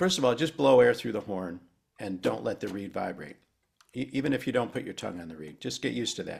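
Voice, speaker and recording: A man of medium pitch talks very fast with very wide pitch swings and big swings in loudness. His voice has vocal fry. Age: 70s. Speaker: saxophone educator. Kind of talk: masterclass tutorial.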